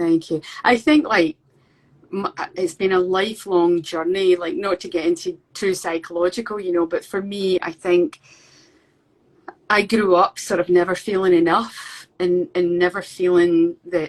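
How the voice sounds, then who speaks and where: A woman with a Scottish accent speaks at a fairly low pitch with fairly even intonation. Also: fairly slow pace. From Scotland. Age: 50s. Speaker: painter. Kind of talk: interview. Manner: halting.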